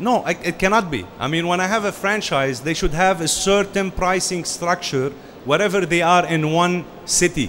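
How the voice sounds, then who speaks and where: Noticeable background noise sits behind a man speaking at a moderate pace in a high pitch with ordinary pitch variation. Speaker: franchise consultant. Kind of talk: business presentation.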